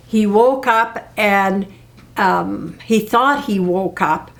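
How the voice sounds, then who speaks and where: Noticeable background noise sits behind this recording. A woman speaks at a medium pitch. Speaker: parent being interviewed about family history. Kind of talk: family oral history interview. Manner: halting, many fillers.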